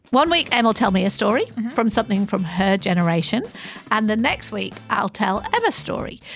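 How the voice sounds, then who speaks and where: A woman with a fairly high pitch talks fairly quickly, her intonation lively. Noticeable background noise can be heard. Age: 50s. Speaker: podcast co-host, head of content. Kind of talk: casual storytelling chat.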